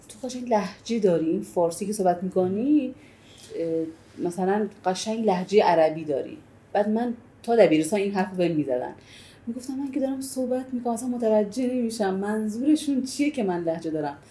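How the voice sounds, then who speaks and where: A woman's medium-pitched, somewhat breathy voice with a dark, mellow tone, in an Arabic accent, lively in intonation and fairly quick, yet with long, frequent pauses. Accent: Arabic accent in Persian. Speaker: Arabic language teacher. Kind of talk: casual chat.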